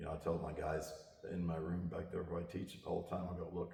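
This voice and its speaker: This man talks very fast. The room gives off an audible echo. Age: 60s. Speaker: martial arts instructor. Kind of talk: interview. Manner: casual, conversational with many fillers.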